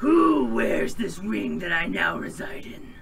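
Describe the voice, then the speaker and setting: A man puts on a raspy character voice and speaks at a fairly slow pace over clear background noise. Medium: actual play. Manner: booming, arrogant, archaic speech.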